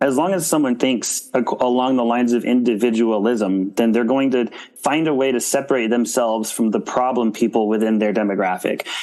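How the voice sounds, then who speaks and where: Against noticeable background noise, a man of medium pitch talks at a fairly quick pace with ordinary pitch variation and very even loudness. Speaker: TikTok creator. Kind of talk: interview answer.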